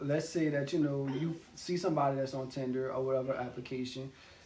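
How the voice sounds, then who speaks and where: A man with a fairly high pitch speaks at a fairly quick pace. His intonation is fairly even, and the room echo is audible. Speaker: video co-host. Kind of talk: casual chat. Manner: assertive, passionate.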